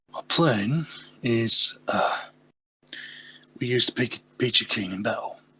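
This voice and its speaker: A man uses a put-on character voice that is raspy and medium in pitch. He speaks at a fairly slow pace with long, frequent pauses. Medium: actual play. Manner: blunt, decisive.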